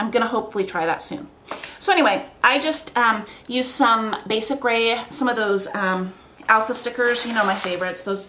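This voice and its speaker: Amid noticeable background noise and audible room echo, a woman talks at a fairly quick pace with ordinary pitch variation. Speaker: scrapbooking crafter. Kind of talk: craft tutorial. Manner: fast; animated.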